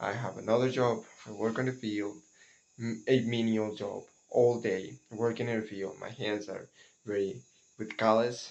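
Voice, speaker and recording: A man talks fairly slowly in a medium pitch, with ordinary pitch variation. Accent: non-native. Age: 20s. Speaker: cocoa farmer and vlogger. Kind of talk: casual vlog monologue. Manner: halting, with many repetitions and fillers.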